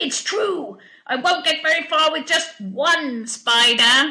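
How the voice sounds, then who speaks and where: In a put-on character voice, a woman cackles at an extremely high pitch. She goes at a fairly slow pace. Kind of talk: comic overacting. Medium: read story. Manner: cackling, gloating.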